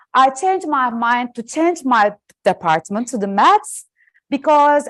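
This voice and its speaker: A woman with a Turkish accent speaks at a high pitch with lively intonation. Her pace is fairly slow, and the background is quiet. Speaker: professor. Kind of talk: lecture. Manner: loud.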